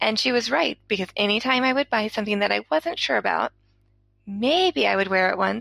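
A woman with an American accent talks at a fairly quick pace. The sound is dry and close with no echo, on a very clean recording with a silent background. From Georgia, US South. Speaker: listener sending a voice message. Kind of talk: recorded voice message.

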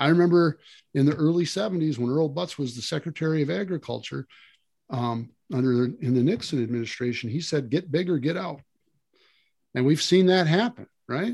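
Lively in intonation, a man with a fairly high pitch speaks fairly quickly but takes long, frequent pauses. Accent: Upper Midwest. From Wisconsin, rural. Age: 60s. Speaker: land management consultant. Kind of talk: casual interview.

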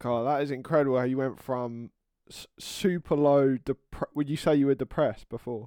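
A man's fairly high voice with a dark, mellow tone, fairly even intonation and big swings in loudness at a moderate pace, in a very clean recording with a silent background and a dry, close sound with no echo. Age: 20s. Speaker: podcast host. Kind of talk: casual interview conversation. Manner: halting.

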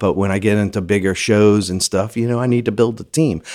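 This man has a Louisiana accent. His pitch is fairly low, with ordinary variation. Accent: Louisiana Southern US. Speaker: film location manager. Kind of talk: casual interview.

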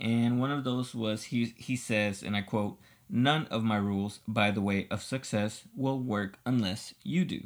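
Speaking in a plain, everyday voice, a man keeps a fairly slow pace at a medium pitch with ordinary pitch variation. The recording is very clean with a silent background. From Los Angeles, US. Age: 30s. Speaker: podcast co-host, musician. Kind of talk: casual chat.

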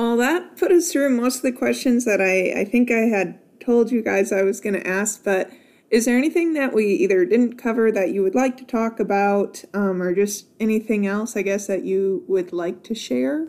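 Speaking at a moderate pace, a woman with a normal speaking voice has a fairly high pitch and lively intonation. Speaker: podcast host. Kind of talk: casual interview with grandparents. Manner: friendly, warm, laughing.

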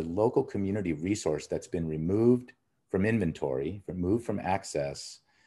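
A man with a fairly low voice and a Californian accent speaks with lively intonation. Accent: Californian American. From Los Angeles, US. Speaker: outdoor industry consultant. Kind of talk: interview conversation. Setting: at home in his childhood neighborhood.

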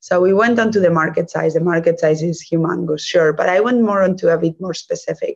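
A Spanish accent shapes the speech. It moves at a fairly quick clip. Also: woman. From Spain. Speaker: venture capital investor. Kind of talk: interview.

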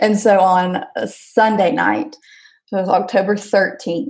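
A woman with a Southern US accent talks at a fairly slow pace. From Alabama. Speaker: stay-at-home mom, former teacher. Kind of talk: personal birth story interview.

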